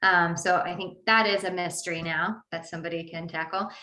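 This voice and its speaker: A woman speaks with an American accent and a bright, sharp tone. Her pace is moderate, and room echo is audible. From Missouri. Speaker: author and historic site coordinator. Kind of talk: book talk presentation. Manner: casual, with many fillers.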